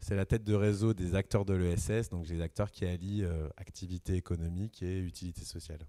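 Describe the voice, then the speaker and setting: The tone is dark and mellow, delivered at a moderate pace with fairly even intonation. The sound is dry and close with no echo, on a very clean recording with a silent background. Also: man. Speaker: regional development officer. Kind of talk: round table discussion.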